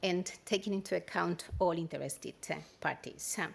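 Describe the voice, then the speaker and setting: Lively intonation with a Spanish accent. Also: woman. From Spain. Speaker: standards organization director. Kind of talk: keynote speech. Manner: hesitant, many fillers.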